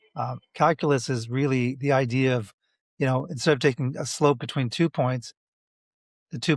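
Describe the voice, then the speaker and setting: With an ordinary speaking voice, a man talks at a fairly quick pace and a medium pitch, his intonation fairly even, in a very clean, dry, close recording with a silent background and no echo. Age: 60s. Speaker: math educator. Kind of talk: podcast interview.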